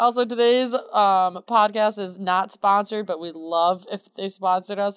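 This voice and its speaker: In a very clean recording with a silent background, a woman speaks at a moderate pace and a medium pitch. Hers is a plain, everyday voice, with fairly even intonation. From central New York. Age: 20s. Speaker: podcast co-host. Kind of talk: casual chat. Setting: recording at home.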